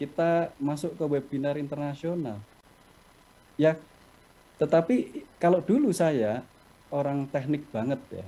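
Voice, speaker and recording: A man with a Javanese accent speaks at a fairly high pitch in a dark, mellow tone, with ordinary pitch variation. His pace is fairly slow, broken by long, frequent pauses. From Java, Indonesia. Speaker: company executive, webinar speaker. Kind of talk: webinar talk, answering questions. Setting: video call.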